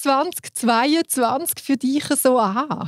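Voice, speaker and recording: Speaking at a very slow pace with a Swiss accent, a woman uses a high pitch with ordinary pitch variation, in a dry, close sound with no echo. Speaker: podcast host.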